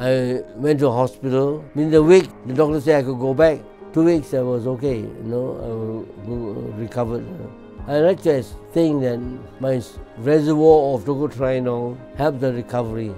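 Faint music plays in the background while a man speaks at a moderate pace. His pitch is medium, with ordinary variation. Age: 80s+. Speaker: scientist, palm oil chemist. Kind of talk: testimonial interview answer. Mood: warm, reflective, engaged. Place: office.

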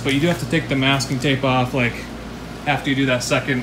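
Noticeable background noise sits under the speech. The man's delivery is very fast. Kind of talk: casual vlog chat. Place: garage.

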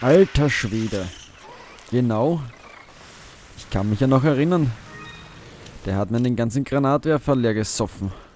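A man speaks at a fairly slow pace with big swings in loudness and long, frequent pauses, with music playing in the background. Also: medium pitch for a man, ordinary pitch variation. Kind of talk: let's play gaming commentary. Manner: casual, animated.

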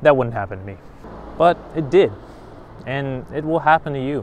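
Here a man talks at a moderate pace. The sound is dry with no echo, and there is light background noise. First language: not Japanese; foreigner in Japan. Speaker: vlogger. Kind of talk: casual vlog monologue. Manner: animated. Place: street. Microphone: lapel.

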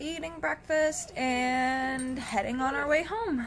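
A woman's voice over light background noise. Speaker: pet vlogger. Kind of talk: casual vlog chat. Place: home room. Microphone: phone near.

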